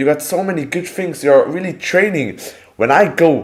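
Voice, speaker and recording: Speech in a non-native accent with ordinary pitch variation at a moderate pace. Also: man. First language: not English. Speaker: calisthenics content creator and streamer. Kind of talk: live stream chat. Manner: halting, self-correcting.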